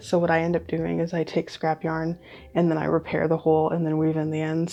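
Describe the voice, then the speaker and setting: Soft-spoken and very fast, a woman talks with a fairly low pitch and a dark, mellow tone. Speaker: knitting podcaster. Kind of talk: casual chat. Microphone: nice mic.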